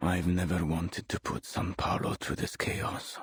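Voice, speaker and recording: Putting on a character voice, a man speaks at a moderate pace in a very deep, low pitch, with a menacing tone and monotone, flat intonation. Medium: video game. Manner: measured, cold, menacing.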